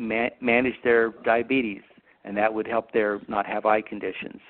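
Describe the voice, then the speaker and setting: In an American accent, a man speaks in a normal speaking voice. His pitch is medium and his pace moderate. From Utah. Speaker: optometrist. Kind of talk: educational interview.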